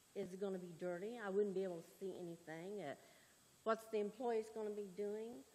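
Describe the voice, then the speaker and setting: The voice keeps a fairly even intonation at a fairly quick pace. Its tone is dark and mellow, with big swings in loudness. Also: woman, medium pitch for a woman. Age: 60s. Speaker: concerned resident. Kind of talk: public comment.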